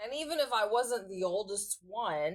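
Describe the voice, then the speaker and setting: A woman speaks at a very slow pace. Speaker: vlogger. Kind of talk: casual vlog monologue. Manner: relaxed.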